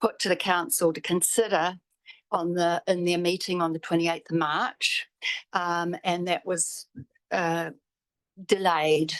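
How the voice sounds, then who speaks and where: A woman with a New Zealand accent and fairly low pitch, at a fairly slow pace with fairly even intonation and long, frequent pauses, in a dry, close sound with no echo. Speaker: public forum speaker, property owner. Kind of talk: public submission to council. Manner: halting.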